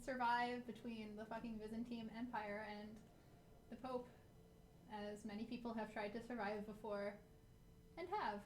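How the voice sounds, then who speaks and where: A woman with a fairly high pitch speaks at a moderate pace in a monotone, flat intonation, pausing long and often. Room echo is audible, along with noticeable background noise. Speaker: game streamer. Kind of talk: live game stream commentary. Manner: flat, monotone delivery; halting, many fillers and restarts.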